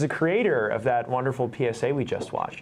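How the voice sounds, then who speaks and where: The speaker is a man with a normal speaking voice. His moderate pace carries lively intonation. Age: 20s. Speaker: student TV host. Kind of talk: live student TV show hosting. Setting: studio. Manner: upbeat.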